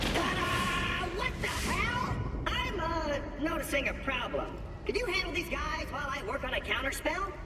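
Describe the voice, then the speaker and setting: Delivered at a moderate pace, the put-on character voice carries a slight echo amid loud background noise. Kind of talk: comic overacting. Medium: virtual streamer. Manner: excitable, boastful.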